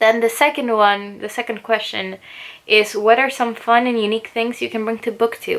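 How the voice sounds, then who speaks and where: A woman with a Spanish accent talks at a fairly quick pace in a fairly high pitch. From Chile. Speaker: booktuber and English teacher. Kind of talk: casual chat. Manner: relaxed.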